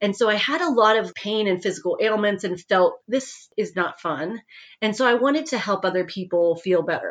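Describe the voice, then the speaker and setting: Here a woman with a normal speaking voice talks with lively intonation. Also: medium pitch for a woman, moderate pace. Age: 40s. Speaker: author and former physician assistant. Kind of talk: interview, personal testimony.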